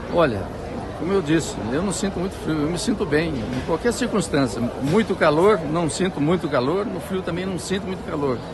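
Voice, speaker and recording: A man with a high pitch and lively intonation at a moderate pace, with noticeable background noise and audible room echo. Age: 70s. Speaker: interviewee at street market. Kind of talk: street interview.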